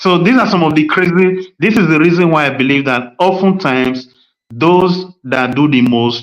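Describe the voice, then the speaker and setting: The speaker has a Nigerian accent and talks at a moderate pace. Pitch variation is ordinary. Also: man. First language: Nigerian language (mother tongue). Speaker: podcast host. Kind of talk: casual chat. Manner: animated.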